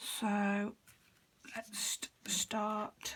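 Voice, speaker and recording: Somewhat breathy, a woman with a British accent speaks at a medium pitch. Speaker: card-making crafter. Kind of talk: crafting tutorial. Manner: casual, chatty.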